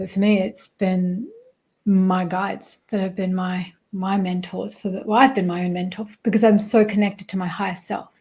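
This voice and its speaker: Dark, mellow, and somewhat breathy, a woman's medium-pitched voice carries an Australian accent. She speaks at a moderate pace in a monotone, flat intonation. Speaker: spiritual mentor and success coach. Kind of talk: interview conversation.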